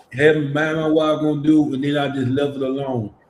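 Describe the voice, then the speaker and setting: A man with a fairly high pitch, a monotone, flat delivery and an American accent. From US South, Memphis, Tennessee. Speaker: church podcast co-host. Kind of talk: casual chat.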